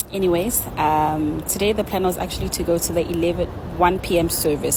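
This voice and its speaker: A woman speaks at a fairly quick pace in a fairly low, monotone voice with flat intonation, over noticeable background noise. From South Africa. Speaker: vlogger. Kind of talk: casual vlog narration.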